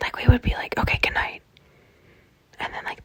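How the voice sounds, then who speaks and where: A woman whispers at a very fast pace. Noticeable background noise sits behind her. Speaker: vlogger. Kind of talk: casual vlog monologue. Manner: animated.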